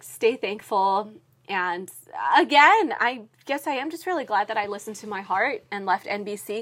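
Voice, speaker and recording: A woman speaks in a fairly high pitch with an animated tone. Her intonation is lively. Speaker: entertainment news reporter and TV host. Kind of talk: casual chat. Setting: podcast interview. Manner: animated, laughs often.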